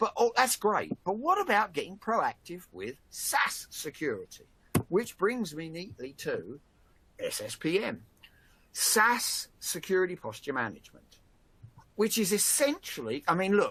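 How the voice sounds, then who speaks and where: The speaker has a Cockney accent. The pace is fairly slow. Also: man. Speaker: industry analyst and webinar host. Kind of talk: webinar discussion. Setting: online webinar. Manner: halting, many repetitions.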